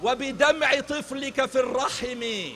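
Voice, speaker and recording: A man's raised, projected voice, extremely high in pitch, with noticeable background noise. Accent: Arabic. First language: Arabic. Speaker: rally speaker. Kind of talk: rally speech. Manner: impassioned.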